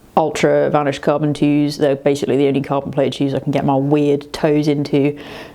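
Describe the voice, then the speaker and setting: A woman with a very deep, low pitch, monotone and flat, at a moderate pace and very even loudness, over noticeable background noise. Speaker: running vlogger. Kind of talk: casual vlog. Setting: hotel room. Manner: quiet.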